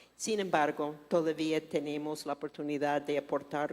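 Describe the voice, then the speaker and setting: A woman speaks with a non-native accent. Her voice is very deep and low. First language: not Spanish (speaking Spanish). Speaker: forum moderator. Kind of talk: business forum Q&A.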